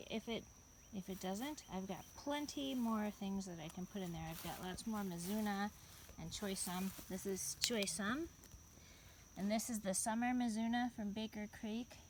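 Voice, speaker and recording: Quiet and somewhat breathy, a woman speaks at a fairly slow pace in a medium-pitched voice. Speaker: home gardener. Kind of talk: casual garden tour narration.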